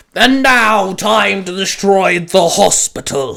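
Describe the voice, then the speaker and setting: A growling put-on character voice at a middle pitch moves along at a fairly slow pace. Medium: read story. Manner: growling, gloating.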